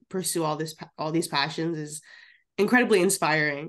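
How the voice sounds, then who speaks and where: A woman with an unremarkable speaking voice talks at a fairly low pitch and moderate pace, with ordinary pitch variation against a quiet background. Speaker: student intern co-host. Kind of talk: casual interview conversation.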